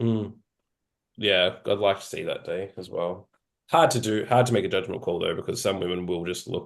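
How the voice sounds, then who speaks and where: A man with an Australian accent talks at a moderate speed. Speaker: podcast host, physique competitor. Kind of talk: podcast interview.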